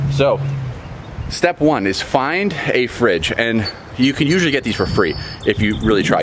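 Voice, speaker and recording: Energetic in tone, a man speaks with lively intonation. Noticeable background noise is present. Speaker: reptile breeder and DIY vlogger. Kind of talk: casual how-to vlog. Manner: fast; energetic, chatty.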